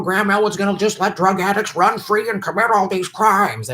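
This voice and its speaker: Someone performs a put-on character voice at a middle pitch against noticeable background noise. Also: fairly quick pace. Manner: mocking, dumb-sounding.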